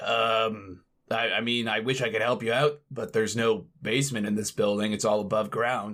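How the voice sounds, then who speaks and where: A raspy, put-on character voice is heard. It moves at a moderate pace with monotone, flat intonation. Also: man, medium pitch for a man. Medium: actual play. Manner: hesitant, stammering.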